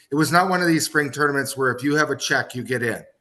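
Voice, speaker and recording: Bright and sharp in tone, a man talks with an Ontario accent and ordinary pitch variation. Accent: Canadian (Ontario). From Canada, Kitchener, Ontario. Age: 60s. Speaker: hockey executive and former coach. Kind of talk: podcast interview.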